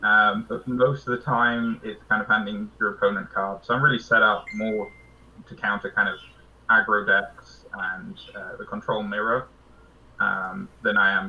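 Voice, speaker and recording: A man with a British accent, big swings in loudness, and noticeable background noise. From Britain. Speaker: card game player. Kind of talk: casual interview.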